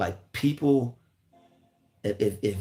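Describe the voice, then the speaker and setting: Fairly slow speech with ordinary pitch variation over music in the background. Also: man. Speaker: YouTuber giving motivational talks. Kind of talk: livestream monologue. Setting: live stream. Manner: repetitive, stammering; casual.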